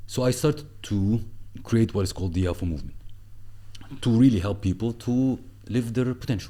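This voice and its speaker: With an Arabic accent, a man talks at a fairly quick pace with long, frequent pauses, a medium pitch, ordinary pitch variation and a dark, mellow tone. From Egypt. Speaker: entrepreneur and former marketing executive. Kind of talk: podcast interview. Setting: studio. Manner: animated.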